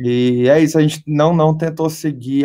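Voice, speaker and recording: A man speaks at a fairly slow pace with a Minas Gerais accent, his tone dark and mellow and his intonation fairly even. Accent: mineiro. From Brazil, Belo Horizonte (Minas Gerais). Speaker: rock band vocalist. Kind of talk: interview.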